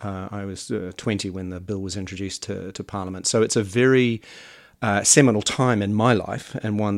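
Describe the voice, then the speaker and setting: A man with a New Zealand accent, at a moderate pace. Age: 50s. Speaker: podcast host. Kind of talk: interview.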